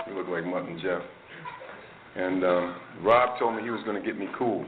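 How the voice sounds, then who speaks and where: Over noticeable background noise and audible room echo, a man speaks fairly quickly in a fairly low pitch with fairly even intonation. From New Jersey, Maplewood. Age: 60s. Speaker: AA speaker. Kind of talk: recovery talk to a meeting audience. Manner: conversational, many fillers.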